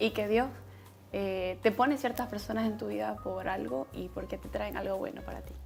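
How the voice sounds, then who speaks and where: The speech moves at a moderate pace with big swings in loudness. Music plays in the background. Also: woman. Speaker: beauty pageant contestant. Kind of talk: interview answers.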